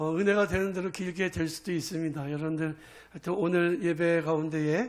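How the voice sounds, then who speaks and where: A man's ordinary speaking voice, fairly high in pitch, with fairly even intonation at a moderate pace. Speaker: pastor. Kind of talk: sermon.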